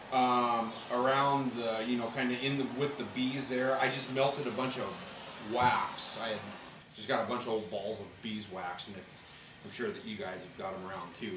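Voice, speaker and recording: A man talks with ordinary pitch variation. There is noticeable background noise. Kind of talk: tutorial. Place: garage. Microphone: camera far.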